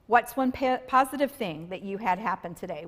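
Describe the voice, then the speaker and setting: Somewhat breathy delivery from a woman at a moderate pace, with lively intonation. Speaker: counselor. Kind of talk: casual conversation. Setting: church live stream.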